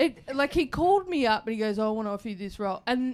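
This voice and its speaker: The speaker is a woman with an Australian accent. The recording is very clean with a silent background. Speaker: radio presenter and comedian. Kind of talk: casual chat. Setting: stage with audience.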